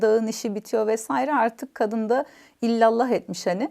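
A dark, mellow tone comes through at a fairly slow pace on a very clean recording with a silent background. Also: woman. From Istanbul village, Bartın family roots. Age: 40s. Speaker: language academy founder. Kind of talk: personal life story interview.

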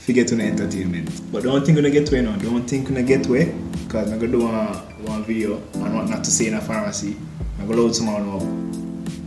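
A man with a Jamaican accent talks at a very fast pace over clear background music. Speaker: pharmacist. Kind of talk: casual talk to camera. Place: home room. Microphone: camera far.

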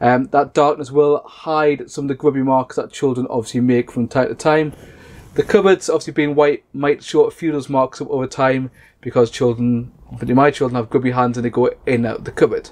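Fairly even intonation marks a man's delivery at a fairly quick pace. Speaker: caravan reviewer. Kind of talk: product review walkthrough. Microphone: camera far.

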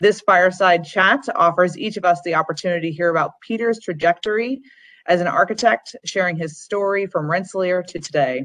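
At a fairly quick pace, the speaker's pitch varies in an ordinary way against a quiet background. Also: woman. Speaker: alumni relations staff. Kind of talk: formal event introduction. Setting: video call. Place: home room. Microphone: video call.

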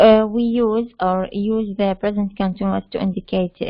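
At a moderate pace, a woman speaks in an unremarkable speaking voice with fairly even intonation. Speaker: university lecturer teaching English. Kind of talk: lecture. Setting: online class with chat and mute. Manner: explanatory, code-switching between Arabic and English.

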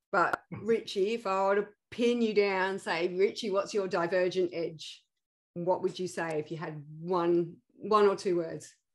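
In a plain, everyday voice, a woman speaks at a fairly slow pace and a medium pitch. Her intonation is fairly even, and the background is quiet. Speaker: podcast host, founder of an ADHD support organization. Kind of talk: casual interview.

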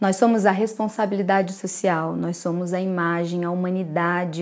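At a moderate pace, a woman is speaking. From Brazil. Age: 30s. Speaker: photographer. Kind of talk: lecture. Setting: recorded talk to camera. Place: home room.

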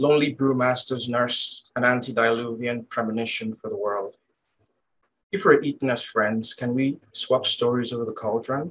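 A man talks at a moderate pace with fairly even intonation. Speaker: poet. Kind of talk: poetry reading. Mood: calm, measured. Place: home room. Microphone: webcam.

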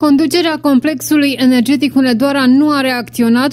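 A woman with a dark, mellow, serious tone at a moderate pace on a very clean recording with a silent background. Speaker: news presenter. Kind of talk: news reading, scripted broadcast delivery. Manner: formal, even and measured; serious, neutral reporting tone.

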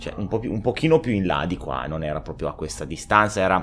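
Vocal fry runs through this man's animated delivery. His pitch swings very widely. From Italy. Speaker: gaming youtuber. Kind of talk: gameplay reaction commentary. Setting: at home. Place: home room. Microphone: studio mic.

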